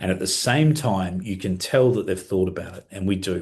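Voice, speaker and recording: This man has a very deep, low voice that is somewhat breathy. He sounds enthusiastic and speaks at a fairly quick pace. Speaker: software trainer. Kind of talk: webinar tutorial. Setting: live online webinar. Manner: fast.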